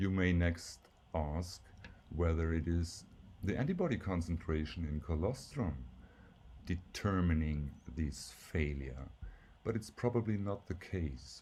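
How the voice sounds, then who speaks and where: A man's very deep, low, somewhat breathy voice with a German accent, fairly slow with long, frequent pauses and ordinary pitch variation, in audible room echo. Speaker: professor. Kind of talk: lecture. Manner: slightly halting with fillers.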